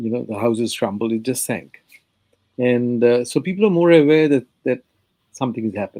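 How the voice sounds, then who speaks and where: With a Bengali accent, a man speaks at a fairly quick pace in a medium pitch, his tone dark and mellow, with ordinary pitch variation. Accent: Indian (Bengali) English. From India, Bengal. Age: 70s. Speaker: history professor, author. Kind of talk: interview. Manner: halting, many fillers.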